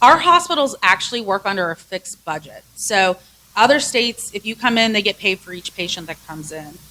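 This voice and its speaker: Delivered at a fairly quick pace, the voice has a bright, sharp tone, very wide pitch swings and big swings in loudness. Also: woman, medium pitch for a woman. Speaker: hospital association executive. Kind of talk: public presentation. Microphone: close to the microphone.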